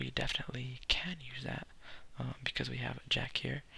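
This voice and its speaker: The speaker is soft-spoken, with a relaxed tone and a fairly quick pace. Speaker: ASMR content creator. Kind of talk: ASMR solitaire gameplay, soft-spoken explanation to camera. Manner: soft-spoken, relaxed.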